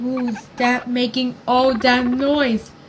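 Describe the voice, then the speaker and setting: Against clear background noise, a woman does a put-on character voice that is high-pitched with monotone, flat intonation. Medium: read story.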